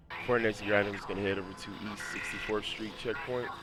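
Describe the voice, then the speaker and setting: A man talks with fairly even intonation against noticeable background noise. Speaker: gaming YouTuber. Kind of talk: game guide voice-over.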